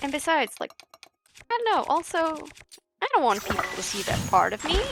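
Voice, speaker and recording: A woman's extremely high voice, fairly quick, with very wide pitch swings. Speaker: game streamer. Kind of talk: casual chat.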